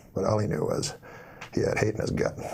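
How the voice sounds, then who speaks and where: There's noticeable background noise as a man talks at a fairly quick pace. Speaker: comedian. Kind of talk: comedic joke storytelling.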